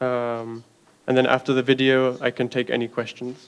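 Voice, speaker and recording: With an American accent, a man talks at a moderate pace in a medium pitch, his intonation monotone and flat. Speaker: artist giving a talk. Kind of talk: artist talk.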